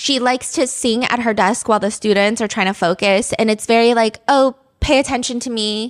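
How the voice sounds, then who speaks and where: A woman with a fairly high pitch speaks in an animated tone, with hardly any pauses. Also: fairly quick pace. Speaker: true crime podcast host. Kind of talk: casual storytelling chat.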